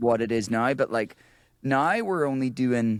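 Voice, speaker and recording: A man with an Irish accent. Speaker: musician and band leader. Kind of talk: casual chat. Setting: video call.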